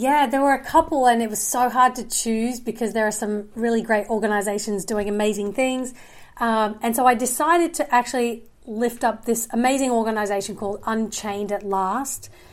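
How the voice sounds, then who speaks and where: Hardly pausing, a woman with an Australian accent and fairly high pitch talks at a moderate pace with ordinary pitch variation, on a very clean recording with a silent background. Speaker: filmmaker and journalist. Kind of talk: casual chat.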